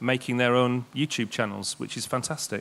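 The speech comes at a fairly quick pace in a Yorkshire accent. The intonation is flat and monotone. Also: man. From East Yorkshire, England. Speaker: games industry network director; presenter. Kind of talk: public presentation. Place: stage. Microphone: handheld.

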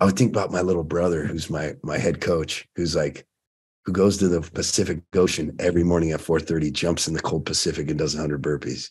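A man speaks at a fairly quick pace in a very deep, low voice. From US West Coast, Oceanside, California; California. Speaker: fitness and fatherhood coach, former firefighter; fatherhood coach. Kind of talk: casual chat. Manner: animated. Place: home room. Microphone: webcam.

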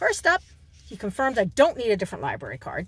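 A woman's high-pitched voice makes very wide pitch swings. The sound is dry with no echo, with light background noise. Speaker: vlogger. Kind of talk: casual vlog chat. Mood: cheerful, chatty. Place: car. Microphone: phone near.

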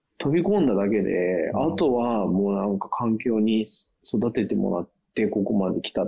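This man has a plain, everyday voice. His pitch is fairly low and his pace is moderate. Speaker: co-host living abroad. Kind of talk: casual chat. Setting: video call.

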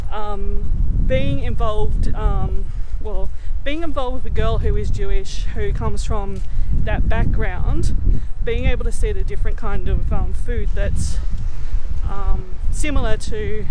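A woman talks fairly slowly with loud background noise around her, and the sound is dry with no echo. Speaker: vlogger. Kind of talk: casual vlog chat. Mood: cheerful, laughing. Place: street. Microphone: phone near.

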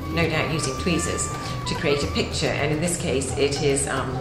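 With clear music behind her and audible room echo, a woman speaks at a moderate pace. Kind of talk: explanatory commentary. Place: office.

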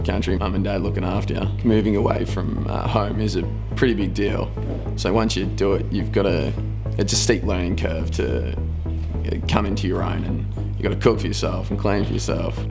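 Clear music plays in the background while the man speaks fairly quickly. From north west Victoria, Australia. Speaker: nursing student. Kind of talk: interview answer. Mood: relaxed, upbeat. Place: studio.

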